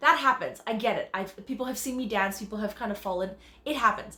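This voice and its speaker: A woman speaks loudly in a Canadian accent with a fairly high pitch. Her tone is bright, sharp, animated and bubbly, with lively intonation. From Canada. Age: 30s. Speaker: dancer and choreographer. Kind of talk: self-tape audition monologue. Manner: loud and bubbly.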